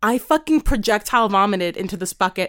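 The sound is dry and close, with no echo. A woman speaks in an animated tone. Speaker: podcast host. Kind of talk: casual chat.

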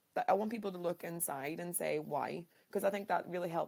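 A woman with a Northern Irish accent, fairly low in pitch, at a fairly quick pace with ordinary pitch variation. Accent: Derry Northern Irish. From Northern Ireland, Derry. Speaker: educator, podcast host. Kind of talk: casual interview chat.

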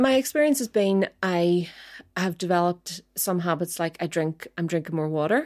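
A woman's plain, everyday voice at a fairly low pitch, with lively intonation and a moderate pace. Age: 40s. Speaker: podcast co-host, doctor. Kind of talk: casual chat.

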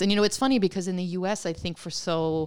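A woman with a plain, everyday voice, fairly low in pitch, at a moderate pace in a very clean recording with a silent background. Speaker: author and writer. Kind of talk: interview conversation.

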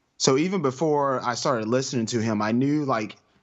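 With a plain, everyday voice, a man talks at medium pitch and a moderate pace, showing ordinary pitch variation. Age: 30s. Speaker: podcaster. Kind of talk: casual chat.

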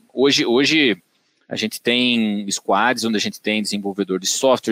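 Speaking at a moderate pace with fairly even intonation, a man with a medium pitch comes through in a dry, close sound with no echo. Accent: São Paulo interior. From Brazil, Tatuí (São Paulo interior). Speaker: agronomist and digital business director. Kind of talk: podcast interview. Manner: hesitant, many fillers.

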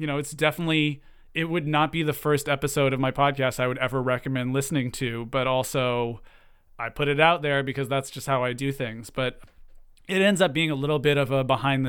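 A man with a normal speaking voice keeps a medium pitch and fairly even intonation while moving at a fairly quick pace. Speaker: podcast creator. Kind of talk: interview.

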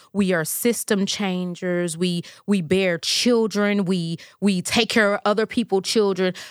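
A woman talks at a fairly slow pace with medium pitch and fairly even intonation. It is a plain, everyday voice, and her loudness stays very even. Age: 40s. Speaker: licensed professional counselor. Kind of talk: casual interview.

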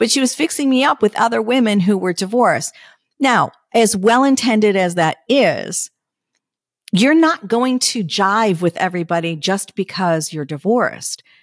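Recorded very cleanly against a silent background, with a dry, close sound and no echo, a woman in a plain, everyday voice speaks at a fairly high pitch and moderate pace with lively intonation. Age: 50s. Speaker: podcast host. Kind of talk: casual monologue.

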